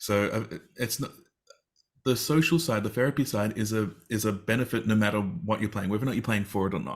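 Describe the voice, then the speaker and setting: A man talks fairly quickly in a fairly low pitch, with ordinary pitch variation. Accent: Australian. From Australia. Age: 40s. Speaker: teacher and game therapy advocate. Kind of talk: interview on a live stream.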